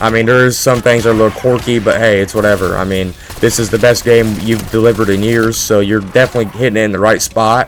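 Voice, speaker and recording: A man with a medium pitch talks at a very fast pace with fairly even intonation. Noticeable background noise is present. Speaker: gaming YouTuber. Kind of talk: gameplay commentary. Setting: home at night. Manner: quiet; casual, rambling.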